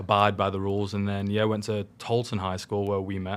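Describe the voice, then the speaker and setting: A man speaks at a moderate pace in a fairly low, monotone voice with flat intonation. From northwest England (Southport, Merseyside). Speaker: youth pastor. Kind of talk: casual conversation, personal testimony.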